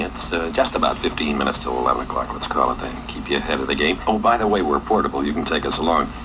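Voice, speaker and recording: A man's very deep, low voice with an American accent, very fast with hardly any pauses and lively intonation, over noticeable background noise. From United States, New York. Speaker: radio disc jockey. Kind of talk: 1960s top-40 radio DJ patter. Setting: vintage radio broadcast. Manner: fast, upbeat, casual.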